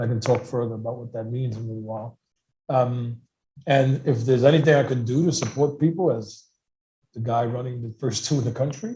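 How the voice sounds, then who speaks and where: A dark, mellow, somewhat breathy voice in a New York accent, fairly quick and fairly even in intonation, with big swings in loudness. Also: man, medium pitch for a man. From New York City, Lower East Side. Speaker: harm reduction organization director. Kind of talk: panel discussion.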